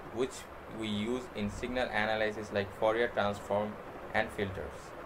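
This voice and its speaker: A man's medium-pitched, monotone, flat voice at a moderate pace, with noticeable background noise. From Bangladesh. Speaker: university student; presenter. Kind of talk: class project presentation. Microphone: webcam.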